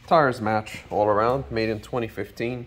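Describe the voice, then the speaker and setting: Music plays in the background. A man talks at a very slow pace. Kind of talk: inspection commentary. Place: garage. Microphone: phone near.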